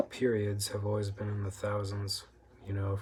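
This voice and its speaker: Soft-spoken and fairly low in pitch, a man talks at a moderate pace in a monotone, flat intonation. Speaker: food review vlogger. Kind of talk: casual monologue. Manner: frequent throat clearing.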